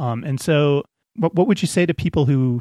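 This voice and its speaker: A man talks at a moderate pace with ordinary pitch variation in an ordinary speaking voice. The recording is very clean with a silent background, and the sound is dry and close with no echo. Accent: American. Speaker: podcast host, climber. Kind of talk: casual chat.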